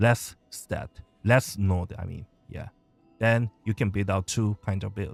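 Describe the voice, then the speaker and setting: With a Korean accent, a man speaks fairly slowly at a fairly low pitch, his intonation fairly even. The sound is dry and close with no echo, and music plays in the background. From South Korea. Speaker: game streamer teaching a class. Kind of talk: live stream tutorial.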